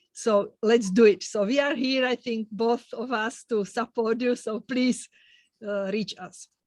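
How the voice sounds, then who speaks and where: A woman with a non-native accent, fairly high in pitch, fairly slow and fairly even in intonation, in a dry, close sound with no echo. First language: not English. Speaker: podcast host. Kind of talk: interview podcast. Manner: halting.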